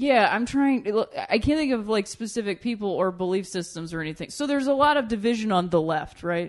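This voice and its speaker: A woman with an ordinary speaking voice and an American accent talks at a fairly quick pace with hardly any pauses, her fairly high voice full of lively intonation. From Ohio, Akron. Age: 30s. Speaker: comedian. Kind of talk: casual chat. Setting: studio.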